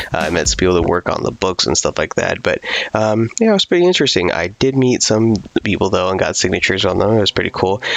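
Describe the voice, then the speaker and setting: A man talks very fast in a fairly low, quiet voice with lively intonation. His loudness stays very even against noticeable background noise. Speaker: gaming youtuber. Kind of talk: casual video review. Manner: quiet, low volume; hesitant, many fillers.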